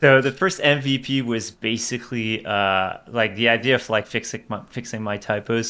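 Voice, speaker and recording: Speaking in a French accent, a man uses a medium pitch and fairly even intonation, his tone bright and sharp. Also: very clean recording, silent background. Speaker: tech startup CEO. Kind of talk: podcast interview. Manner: halting, many repetitions.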